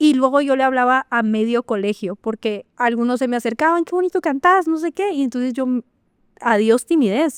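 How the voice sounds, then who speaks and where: A woman's high voice with lively intonation. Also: moderate pace, dry, close sound with no echo. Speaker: marketing professional and cultural manager. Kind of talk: interview conversation. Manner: loud.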